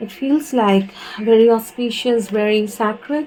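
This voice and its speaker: A woman speaks with an Indian accent and ordinary pitch variation while noticeable background noise runs behind her. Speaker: tarot reader. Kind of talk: spiritual reading and channelled letter read aloud. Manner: hesitant, many fillers.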